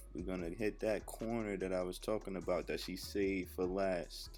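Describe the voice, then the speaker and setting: Music playing behind a man's voice at a moderate tempo. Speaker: rapper. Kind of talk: comedic voiceover narration of a makeup tutorial. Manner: laid-back, joking.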